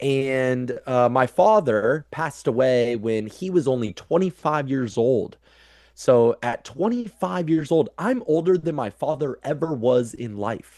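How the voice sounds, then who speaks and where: With a Midwestern American accent, the speaker talks at a fairly slow pace with lively intonation. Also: man, medium pitch for a man. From US Midwest (Council Bluffs, Iowa). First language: American Sign Language. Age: 30s. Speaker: transpersonal psychologist. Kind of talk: casual interview conversation. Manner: halting, many repetitions.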